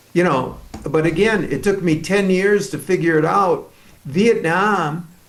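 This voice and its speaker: A man with a high voice talks at a fairly slow pace with ordinary pitch variation, and room echo is audible. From Canada. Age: 70s. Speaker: author. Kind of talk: interview.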